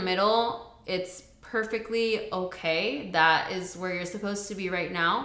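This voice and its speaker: This woman has a plain, everyday voice at a medium pitch. She talks at a fairly slow pace with ordinary pitch variation. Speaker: podcast co-host. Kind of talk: casual chat.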